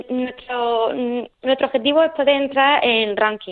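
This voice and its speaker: The speaker has a Murcian accent and a fairly slow pace. Intonation stays fairly even. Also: woman. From Murcia, Spain (Nonduermas). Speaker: para taekwondo athlete. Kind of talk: radio interview. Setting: phone call. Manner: halting.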